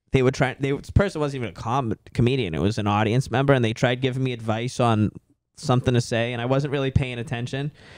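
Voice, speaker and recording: A man speaks very fast with a Boston accent. His pitch sits in the medium range. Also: ordinary pitch variation. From Boston, US. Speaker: stand-up comedian. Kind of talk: casual chat. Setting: podcast. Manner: casual.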